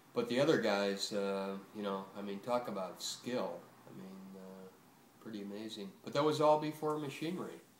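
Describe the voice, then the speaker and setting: Over noticeable background noise, a man with an American accent and a fairly low pitch speaks at a moderate pace, his intonation lively and his loudness swinging widely. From Buffalo, New York. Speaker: retired butcher. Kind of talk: oral history interview answer. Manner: casual, hesitant, many fillers.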